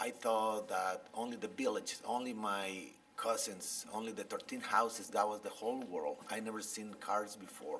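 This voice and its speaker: A man with a Guatemalan accent talks at a moderate pace with hardly any pauses. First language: Spanish. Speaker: biologist and author. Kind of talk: interview storytelling. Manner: halting, many fillers.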